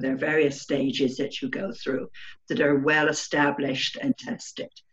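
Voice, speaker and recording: A woman with an English accent speaks in a very deep, low pitch. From England. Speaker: remote viewer. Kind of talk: interview. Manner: halting, many fillers.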